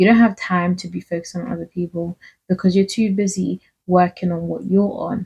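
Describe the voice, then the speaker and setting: A woman with a medium pitch and a dark, mellow tone speaks at a fairly quick pace, somewhat breathy, with fairly even intonation, big swings in loudness and a dry, close sound with no echo. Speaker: faith and self-help vlogger. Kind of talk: casual motivational talk.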